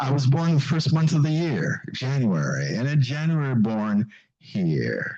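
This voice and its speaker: A man speaks with lively intonation in a fairly high, somewhat breathy voice. His pace is fairly slow. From Jamaica. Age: 80s+. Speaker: pastor. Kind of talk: seminar talk. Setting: church with audience.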